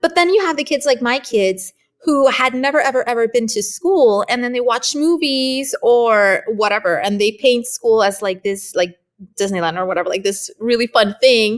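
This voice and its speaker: The woman's voice sits high in pitch. She keeps to a moderate pace. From Canada, Spanish family. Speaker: homeschool mom and curriculum author. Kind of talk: interview. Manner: casual, conversational.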